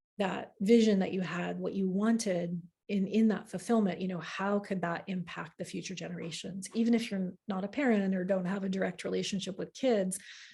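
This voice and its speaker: A woman speaks at a fairly quick pace with hardly any pauses, in a dark, mellow, somewhat breathy tone. Her intonation stays fairly even. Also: medium pitch for a woman. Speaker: astrology teacher. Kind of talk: live online class. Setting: livestream with chat. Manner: fast.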